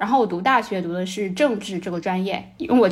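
A woman with a medium-pitched voice speaks very fast. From China. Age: 30s. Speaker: former NGO worker in Africa. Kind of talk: casual chat.

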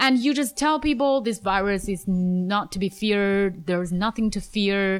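A woman with a Chinese accent at a medium pitch, ordinary pitch variation, very even loudness, a moderate pace, and hardly any pauses, in a very clean recording with a silent background. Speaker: podcast host, English teacher. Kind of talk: casual interview chat.

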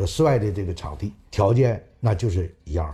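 The man's voice has a dark, mellow tone. It comes across somewhat breathy. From Northeast China, Changchun, Jilin. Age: 70s. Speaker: retired speed skater and Olympic flag bearer. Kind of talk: interview recollection.

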